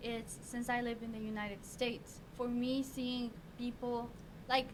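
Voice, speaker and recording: A woman's high voice with a Mexican accent, monotone and flat, in audible room echo. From Mexico. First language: Spanish. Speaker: youth podcast guest. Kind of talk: casual discussion.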